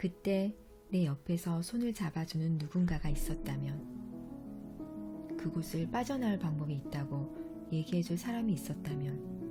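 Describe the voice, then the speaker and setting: Over music in the background, a woman speaks very slowly with very even loudness. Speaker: audiovisual translator and book author. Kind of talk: audiobook reading of own book's prologue. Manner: soft-spoken ASMR-style reading.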